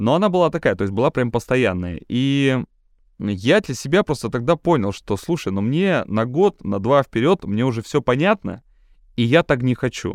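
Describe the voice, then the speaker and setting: Recorded very cleanly against a silent background with a dry, close sound and no echo, a man talks at a moderate pace and medium pitch with very wide pitch swings. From Siberia. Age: 30s. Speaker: TV presenter and event host. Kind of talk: casual interview chat.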